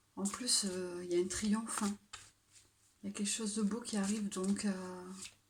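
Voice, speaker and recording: A soft-spoken woman talks with monotone, flat intonation. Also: medium pitch for a woman, moderate pace. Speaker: tarot card reader. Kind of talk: tarot reading. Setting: at home late at night. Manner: hesitant.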